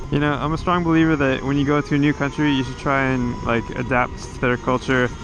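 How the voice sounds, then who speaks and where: Fairly quick speech with an American accent over noticeable background noise. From United States. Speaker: motovlogger. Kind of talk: casual vlog monologue.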